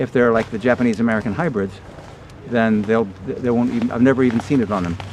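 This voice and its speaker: At a very fast pace, a man with a medium pitch speaks with fairly even intonation against noticeable background noise. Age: 60s. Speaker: veganic farmer. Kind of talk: outdoor workshop Q&A. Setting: outdoors. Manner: halting.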